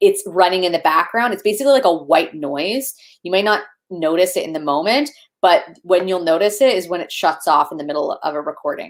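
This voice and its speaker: A fairly quick delivery full of lively intonation. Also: woman, medium pitch for a woman. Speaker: video producer. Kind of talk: casual chat. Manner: fast.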